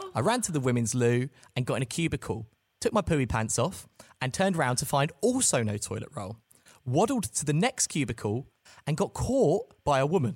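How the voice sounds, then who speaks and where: At a moderate pace, a man with a fairly high, somewhat breathy voice makes very wide pitch swings in a very clean recording with a silent background. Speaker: podcast host. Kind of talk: casual chat.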